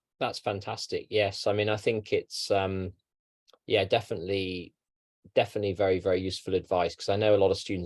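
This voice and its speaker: A man talks at a fairly quick pace. The sound is dry and close, with no echo. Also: quiet background. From London, England. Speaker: university program representative moderating Q&A. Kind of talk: online webinar Q&A.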